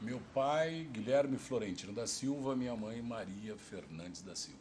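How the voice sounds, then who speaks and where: A man with a normal speaking voice talks at a fairly slow pace. His pitch is medium and his intonation lively. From interior of São Paulo state, Brazil (Ribeirão Preto). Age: 60s. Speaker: oral history interviewee. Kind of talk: oral history interview.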